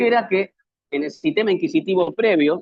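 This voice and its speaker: A man with an Argentine accent speaks at a fairly quick pace, his pitch swinging very widely. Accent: Argentine Spanish (Rioplatense). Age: 60s. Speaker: public defender and lecturer. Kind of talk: lecture.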